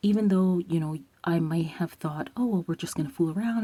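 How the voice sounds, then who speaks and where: A woman speaks in a fairly low pitch with a dark, mellow tone and ordinary pitch variation. The recording is very clean, with a silent background. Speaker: vlogger talking about celibacy. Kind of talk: casual vlog monologue. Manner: whispering at times.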